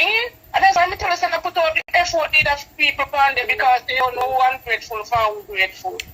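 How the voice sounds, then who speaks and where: Against music in the background, a woman with a Jamaican accent uses a raised, projected voice at a fairly quick pace, her pitch swinging very widely. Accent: Jamaican Patois-inflected English. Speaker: live-stream vlogger. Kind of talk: casual live-stream chat.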